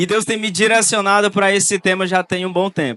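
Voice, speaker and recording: Against a quiet background, a man's bright, sharp voice comes through with a dry, close sound and no echo. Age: 20s. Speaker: youth pastor. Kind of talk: sermon.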